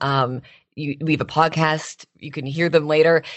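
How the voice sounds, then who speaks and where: This woman has a very deep, low voice and keeps a moderate pace. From Canada, Toronto. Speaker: radio host. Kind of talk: interview. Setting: remote call.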